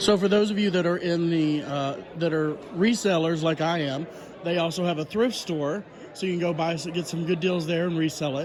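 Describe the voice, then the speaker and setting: A man speaks loudly at a high pitch and a moderate pace, with fairly even intonation. Noticeable background noise and audible room echo are present. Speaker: vlogger and reseller. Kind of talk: casual chat. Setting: business expo.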